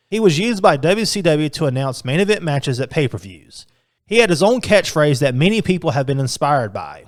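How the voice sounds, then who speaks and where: Very wide pitch swings run through speech delivered at a fairly quick pace. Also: man, fairly high pitch for a man. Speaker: indie ring announcer and wrestling podcaster. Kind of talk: commentary / top-five list narration about pro wrestling.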